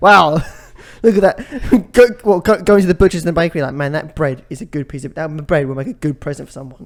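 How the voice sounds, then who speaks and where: With a southern English accent, a high-pitched man talks very fast using lively intonation. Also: big swings in loudness. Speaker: podcast co-host. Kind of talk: casual chat.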